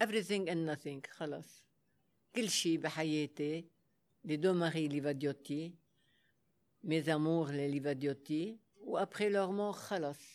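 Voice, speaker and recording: The speaker has a Lebanese accent, captured on a very clean recording with a silent background. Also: moderate pace. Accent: Lebanese Arabic with French code-switching. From Lebanon, Beirut. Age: 80s+. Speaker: former fashion model. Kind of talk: interview. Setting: stage with audience.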